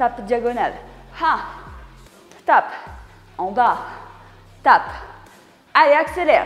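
Faint music plays in the background as a woman speaks at a fairly slow pace and high pitch. Audible room echo surrounds her voice. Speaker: fitness coach. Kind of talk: workout instruction, coaching cues. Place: gym.

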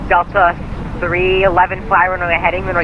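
Over noticeable background noise, a man speaks at a high pitch in a dry sound with no echo. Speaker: tower controller. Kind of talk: air traffic radio: landing and takeoff clearances; radio phraseology. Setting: radio transmission. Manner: rushed, reassuring, slightly flustered. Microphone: two way radio.

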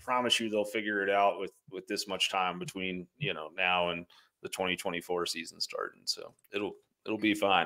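In a fairly low pitch with a bright, sharp tone, a man speaks at a moderate pace with fairly even intonation over a quiet background. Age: 30s. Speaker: podcast co-host. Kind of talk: casual sports chat. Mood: calm, reassuring. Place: home room. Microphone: studio mic.

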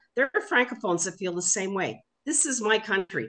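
A woman speaks with very wide pitch swings. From Quebec. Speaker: activist. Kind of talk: heated debate; political discussion comment. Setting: video call. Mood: frustrated, assertive. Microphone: video call.

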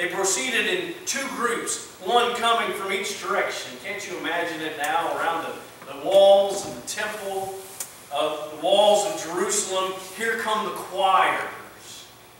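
In a room with strong echo and light background noise, a man with a high pitch talks at a fairly slow pace with ordinary pitch variation. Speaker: pastor. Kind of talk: sermon. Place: church.

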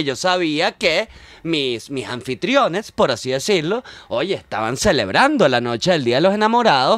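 Over a quiet background, a high-voiced man swings his pitch very widely, and the sound is dry with no echo. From Venezuela. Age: 40s. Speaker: comedian and scriptwriter; comedian. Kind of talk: casual chat. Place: studio. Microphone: studio mic.

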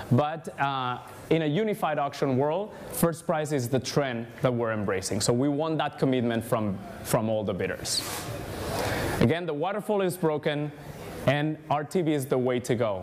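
Against noticeable background noise, a man with a fairly high pitch talks at a moderate pace with lively intonation. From Spain. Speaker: ad tech industry speaker. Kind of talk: conference talk. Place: hall.

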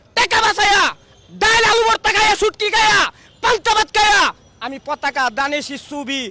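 An extremely high-pitched male voice, raised and projected, with lively intonation and a dry, close sound with no echo. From Bangladesh, Brahmanbaria. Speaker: rickshaw puller and party activist. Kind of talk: street interview. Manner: animated.

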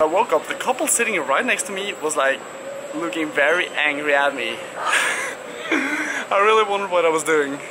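A man speaks at a moderate pace with noticeable background noise behind him. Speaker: bmx rider vlogger. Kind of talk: casual vlog chat. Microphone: phone near.

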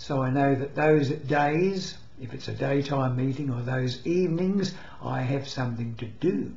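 A man's somewhat breathy voice, fairly high for a man, with ordinary pitch variation, a fairly slow pace and audible room echo. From England. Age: 80s+. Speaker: retiree. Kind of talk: casual talk to camera. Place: home room. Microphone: webcam.

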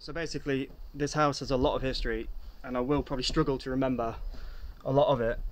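A man speaks at a moderate pace. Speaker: urban explorer vlogger. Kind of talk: casual vlog chat. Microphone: phone near.

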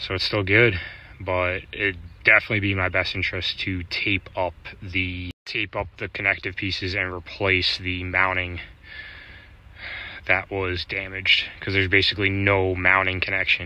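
A man talks at a moderate pace with a very deep, low pitch and monotone, flat intonation. The sound is dry with no echo. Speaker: van dweller vlogger. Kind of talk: casual vlog chat. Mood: annoyed but calm explaining. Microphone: phone near.

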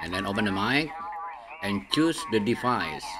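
A man talks at a moderate pace against noticeable background noise. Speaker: amateur radio operator. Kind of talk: tutorial. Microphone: studio mic.

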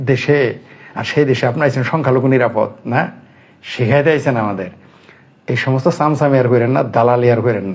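With ordinary pitch variation, a man speaks at a medium pitch in a somewhat breathy voice. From Bangladesh. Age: 50s. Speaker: political commentator. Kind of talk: political commentary monologue. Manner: animated.

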